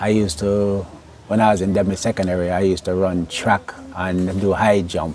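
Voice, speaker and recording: At a moderate pace, a man with an American accent speaks in a fairly low pitch and a monotone, flat intonation. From Jamaica, Clarendon. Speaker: interviewee. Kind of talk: interview. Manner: halting.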